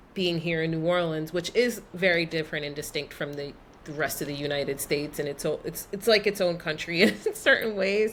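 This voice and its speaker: A woman's fairly low voice at a moderate pace, with ordinary pitch variation and a New York accent. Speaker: expat, travel guest. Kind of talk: casual interview chat.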